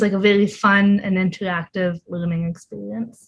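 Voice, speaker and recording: A woman with a Canadian accent speaks fairly slowly at a medium pitch, her voice somewhat breathy. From Ontario, Canada. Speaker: volunteer translator, PhD student. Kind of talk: interview. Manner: halting, many fillers.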